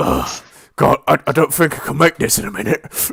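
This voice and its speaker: A man's raspy put-on character voice at a fairly high pitch and moderate pace. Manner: slurred, stumbling, alarmed.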